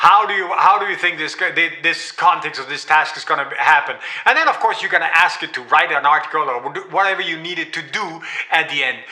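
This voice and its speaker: Over noticeable background noise, a man with a Danish accent talks at a fairly quick pace with a high pitch, ordinary pitch variation and big swings in loudness. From Denmark. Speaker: AI trainer. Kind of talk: live-stream tutorial. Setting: livestream. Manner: halting, many fillers and repeats.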